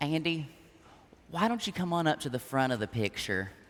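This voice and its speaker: In a Southern US accent, a man talks with a fairly high pitch. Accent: Southern US (Georgia). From US South, Georgia. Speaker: youth organization president. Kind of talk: keynote speech. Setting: stage with audience. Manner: animated.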